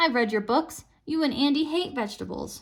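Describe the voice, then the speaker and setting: A woman speaks at a fairly quick pace in a gruff, put-on character voice, her pitch high with ordinary variation. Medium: read story. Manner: hostile, accusing.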